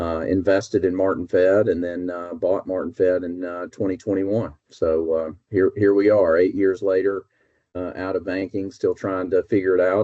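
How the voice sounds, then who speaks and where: A man speaks at a moderate pace. His pitch is very deep and low, with monotone, flat intonation. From US South, North Alabama. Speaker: business executive. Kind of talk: casual interview. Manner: hesitant, many fillers.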